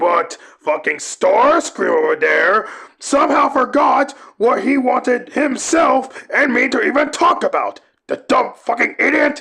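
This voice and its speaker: Using a put-on character voice at an extremely high pitch, a man speaks at a fairly slow pace. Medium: audio drama. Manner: angry, shouting, profane.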